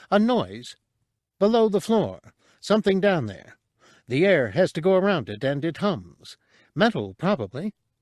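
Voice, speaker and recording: Using a put-on character voice, a man speaks in a high, squeaky, shrill pitch at a moderate pace. He leaves long, frequent pauses against a quiet background. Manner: eager, scrappy, excitable.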